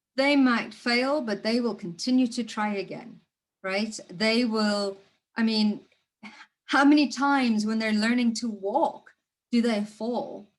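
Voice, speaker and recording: A woman speaks at a fairly slow pace with a somewhat breathy voice. Her pitch is fairly high and her intonation fairly even. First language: not English. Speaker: spiritual coach. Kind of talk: motivational talk.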